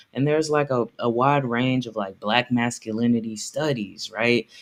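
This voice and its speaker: A man speaks at a medium pitch with ordinary pitch variation. It is a normal speaking voice. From US South. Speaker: memoir author. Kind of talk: interview. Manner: casual, filler-heavy.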